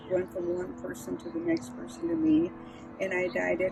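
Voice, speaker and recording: A woman's voice with music in the background. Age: 80s+. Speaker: wearable artist. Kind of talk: personal presentation of own work. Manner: halting.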